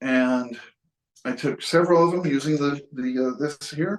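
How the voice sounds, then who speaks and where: This man has an American accent and a fairly high voice with ordinary pitch variation. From western New York. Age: 60s. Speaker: photographer. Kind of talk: casual talk about photography. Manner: halting, with restarts.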